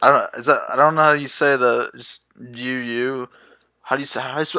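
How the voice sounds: In a quiet background, a natural reading voice moves with fairly even intonation.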